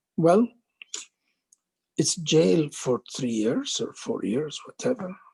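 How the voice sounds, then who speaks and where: A man talks very slowly, his pitch swinging very widely, in a somewhat breathy voice. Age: 70s. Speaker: doctor, former medical board chair. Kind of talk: interview answer.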